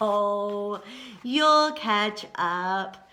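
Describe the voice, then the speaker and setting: A woman does a put-on character voice at a medium pitch. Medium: read story. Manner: warm, folksy.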